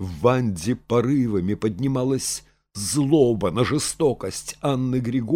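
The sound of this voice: An unforced reading voice, its pitch rising and falling in an ordinary way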